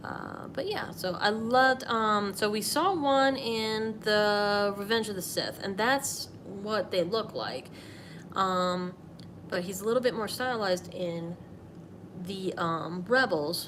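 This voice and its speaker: The room echo is audible as a woman speaks at a very slow pace. Her pitch is medium, with ordinary pitch variation. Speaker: artist streaming a drawing session. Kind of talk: casual live stream while drawing. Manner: rambling, hesitant with fillers.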